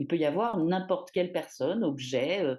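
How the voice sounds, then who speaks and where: A woman's fairly low, dark, mellow voice with very wide pitch swings, against a quiet background. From Paris, France. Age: 50s. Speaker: feminist activist. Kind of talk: testimony. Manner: hesitant, many fillers.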